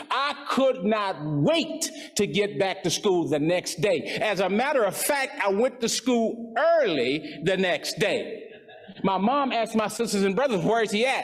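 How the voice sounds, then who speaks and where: An animated man with a high pitch makes very wide pitch swings over noticeable background noise. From West Texas. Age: 70s. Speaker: motivational speaker, former coach. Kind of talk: motivational speech.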